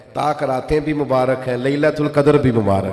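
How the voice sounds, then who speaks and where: A man speaks over noticeable background noise. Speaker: Islamic preacher. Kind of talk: religious sermon (bayan). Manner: emotional, fervent, passionate preaching.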